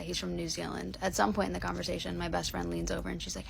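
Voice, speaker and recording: Talking at a very fast pace, a woman speaks with a strong Chicago accent. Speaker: storyteller.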